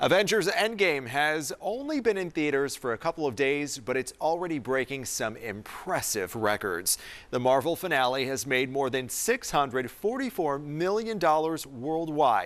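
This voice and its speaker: A man with an American accent talks at a moderate pace with hardly any pauses, using a fairly high pitch and very wide pitch swings, on a very clean recording with a silent background. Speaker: TV news anchor. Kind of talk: TV news anchor read.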